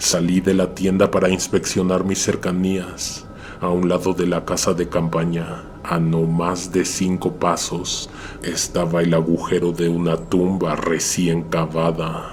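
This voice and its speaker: Over noticeable background noise, a man talks fairly slowly in a very deep, low voice, his loudness very even and his intonation monotone and flat. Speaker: horror story narrator. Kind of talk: horror story narration.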